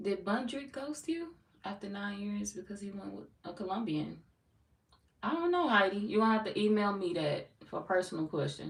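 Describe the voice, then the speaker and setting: A woman with an American accent speaks at a moderate pace, her pitch in the medium range. Her pitch swings very widely, and her loudness rises and falls a lot. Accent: sounds country, people often remark. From St. Louis, Missouri. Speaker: tarot reader. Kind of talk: live stream chat with viewers. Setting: live stream. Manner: casual, animated.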